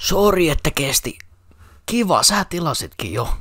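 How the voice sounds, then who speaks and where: Putting on a character voice, a man speaks at a high pitch with lively intonation. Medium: fan dub.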